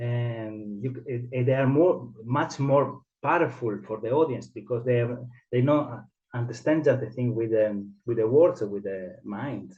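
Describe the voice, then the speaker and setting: A man with an Italian accent speaks at a fairly slow pace, his pitch medium and its variation ordinary. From Italy. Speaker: theatre director and mask teacher. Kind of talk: interview. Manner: halting.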